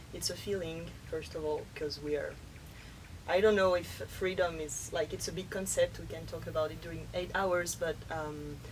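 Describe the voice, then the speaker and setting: A woman speaks with a French accent. Noticeable background noise and audible room echo fill the recording. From France. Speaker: workshop facilitator. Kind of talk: interview. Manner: halting.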